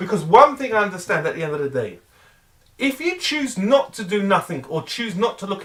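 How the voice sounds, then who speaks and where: Raising and projecting his voice, a man speaks at a moderate pace in an animated tone with very wide pitch swings. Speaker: weight loss vlogger. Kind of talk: motivational rant. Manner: loud.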